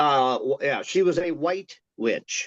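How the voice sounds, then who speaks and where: Recorded with a dry, close sound and no echo, a man talks at a fairly slow pace. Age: 60s. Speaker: author. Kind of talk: casual chat. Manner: halting.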